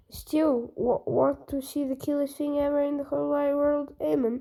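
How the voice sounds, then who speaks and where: A woman speaks in a put-on character voice pitched high. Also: moderate pace. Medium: read story.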